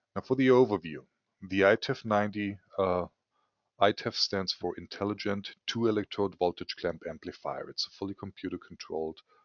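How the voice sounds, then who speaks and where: A man speaks with a German accent in a fairly low voice. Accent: German accent, somewhat weird. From Germany. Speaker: scientific equipment sales executive. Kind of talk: webinar presentation. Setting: online webinar.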